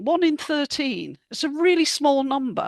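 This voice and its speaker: A woman's voice, dry and close with no echo, in a very clean recording with a silent background. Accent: British. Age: 70s. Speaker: health author and speaker. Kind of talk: talk to a group.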